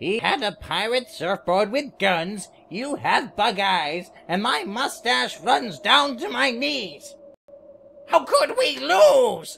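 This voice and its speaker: Very slow, fairly high-pitched put-on character voice. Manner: boastful, rambling.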